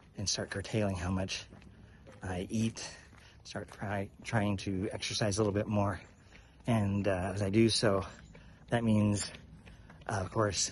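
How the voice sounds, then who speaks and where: Over light background noise, a man speaks slowly-ish, at a fairly slow pace, somewhat breathy. His voice is fairly low with ordinary pitch variation, and the sound is dry with no echo. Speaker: walking vlogger. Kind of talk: casual vlog chat. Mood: relaxed, reflective. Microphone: phone near.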